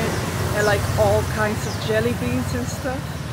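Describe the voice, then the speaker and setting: A woman at a fairly slow pace against loud background noise. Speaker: food vlogger. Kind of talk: casual vlog chat. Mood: upbeat, enthusiastic. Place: street. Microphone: phone near.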